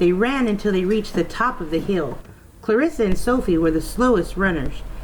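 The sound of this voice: An unforced reading voice is heard here.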